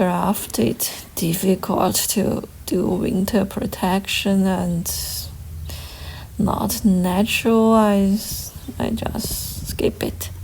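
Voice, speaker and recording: Over noticeable background noise, a woman with a non-native accent speaks at a very slow pace, with long, frequent pauses. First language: not English. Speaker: gardening vlogger. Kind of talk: casual walkthrough vlog. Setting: outdoors. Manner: halting.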